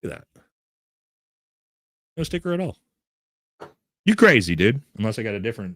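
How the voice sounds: Speaking at a fairly quick pace, a man uses vocal fry and very wide pitch swings in a dry, close sound with no echo.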